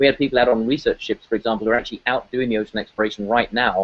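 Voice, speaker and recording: A man talks with a British accent. His intonation stays fairly even. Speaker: ocean scientist. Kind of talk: interview. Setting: aquarium event venue.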